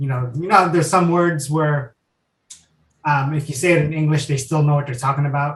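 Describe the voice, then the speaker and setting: At a fairly quick pace, a man with a fairly high pitch speaks somewhat breathily with fairly even intonation. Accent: American. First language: Tagalog. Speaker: guest's partner. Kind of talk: casual chat.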